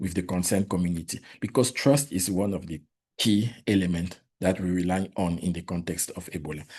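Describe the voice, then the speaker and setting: A man's very deep voice with a French accent, against a quiet background. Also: ordinary pitch variation, fairly quick pace. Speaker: public health worker, Ebola responder. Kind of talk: presentation. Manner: halting.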